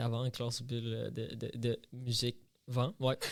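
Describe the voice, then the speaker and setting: A medium-pitched man with a slight Brazilian accent at a moderate pace, in a very clean recording with a silent background. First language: Portuguese (speaking French). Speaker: podcast co-host. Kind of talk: casual chat. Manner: halting.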